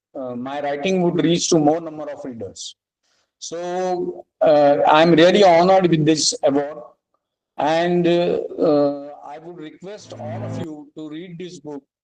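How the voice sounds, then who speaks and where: A man with a Marathi accent speaks at a fairly slow pace in a fairly high voice, his intonation fairly even but his loudness swinging widely. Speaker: author, award recipient. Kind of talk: acceptance speech. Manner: hesitant, many fillers.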